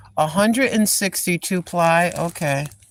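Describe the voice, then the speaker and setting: A medium-pitched woman's voice with noticeable background noise. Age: 60s. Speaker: live-streaming vlogger. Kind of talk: casual live stream chat. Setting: store. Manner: animated.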